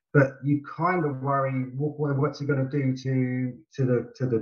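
Here a man speaks with a British accent. His voice is somewhat breathy. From UK. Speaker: co-host.

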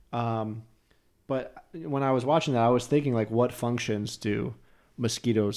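A man with a dark, mellow tone talks at a moderate pace and medium pitch on a very clean recording with a silent background. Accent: American. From New Jersey. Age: 30s. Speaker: podcast host. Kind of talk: casual chat.

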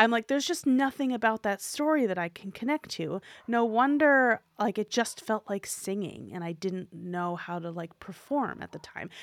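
A woman with an American accent speaks at a fairly high pitch and a moderate pace, her intonation lively and her loudness swinging widely. She hardly pauses, and the sound is dry and close with no echo. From New York City (Manhattan). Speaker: performer, author and educator. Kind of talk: interview conversation.

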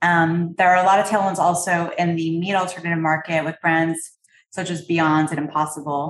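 A woman with a slight Canadian accent speaks at a moderate pace in a fairly low voice. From Canada. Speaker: private equity investor. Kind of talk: interview.

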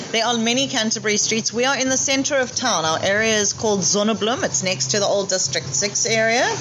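Over noticeable background noise, a woman talks at a very fast pace with hardly any pauses. Her fairly high voice swings very widely in pitch while its loudness stays very even. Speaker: bakery co-owner. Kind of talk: casual interview chat about the bakery.

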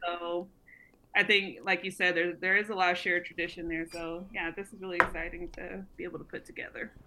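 At a fairly quick pace, a woman with an American accent talks in a fairly low pitch and a monotone, flat intonation. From Los Angeles. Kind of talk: casual chat. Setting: video call.

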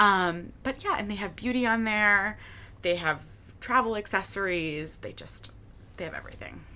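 A woman with an American accent speaks in a normal speaking voice at a medium pitch and a moderate pace. Her pitch varies in an ordinary way, while her loudness swings widely. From Michigan, Detroit area. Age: 20s. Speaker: photographer and content creator. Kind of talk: casual interview. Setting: living room.

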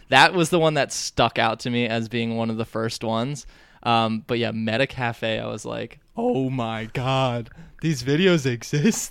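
In a very clean recording with a silent background, a man with an ordinary speaking voice talks at a medium pitch and a fairly slow pace, with ordinary pitch variation. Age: 20s. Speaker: comedian. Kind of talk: casual interview chat.

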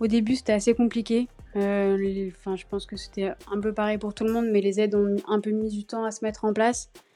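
Fairly quick, monotone delivery with flat intonation and a dark, mellow tone. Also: woman, fairly high pitch for a woman. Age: 30s. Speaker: restaurant owner. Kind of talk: casual interview.

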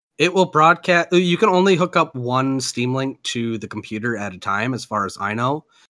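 An American-accented man speaks in a bright, sharp tone with lively intonation. The recording is very clean, dry and close, with a silent background and no echo. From Minnesota. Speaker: podcast host. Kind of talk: casual chat.

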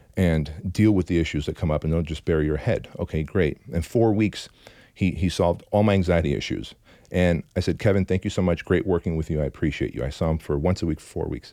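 The speaker talks at a fairly quick pace with ordinary pitch variation. The tone is dark and mellow, with vocal fry. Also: man, very deep, low pitch for a man. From Armenian immigrant from a communist country. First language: Armenian. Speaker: entrepreneur and business coach. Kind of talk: interview storytelling. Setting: studio.

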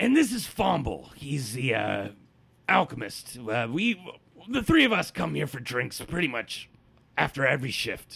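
Doing a put-on character voice, a man sounds raspy at a medium pitch. He speaks at a fairly slow pace. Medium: actual play. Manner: gruff, blunt.

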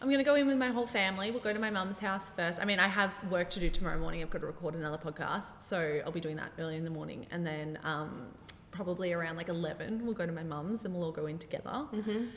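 With an Australian accent, a woman talks at a very fast pace and fairly low pitch. Her intonation is lively over noticeable background noise. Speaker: podcast host, guest on footy podcast. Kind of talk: casual chat. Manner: animated.

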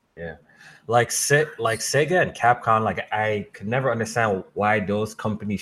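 Speaking at a moderate pace, a man with a plain, everyday voice and a fairly low pitch shows ordinary pitch variation. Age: 20s. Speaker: gaming podcast host. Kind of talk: casual chat.

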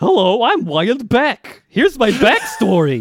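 At a moderate pace, a man uses a put-on character voice pitched extremely high. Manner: goofy, cartoonish.

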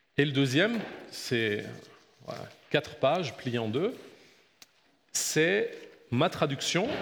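Amid audible room echo, a man with a fairly high pitch speaks at a very slow pace, with very wide pitch swings and long, frequent pauses. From Belgium. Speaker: pastor. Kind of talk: Bible lecture. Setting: church.

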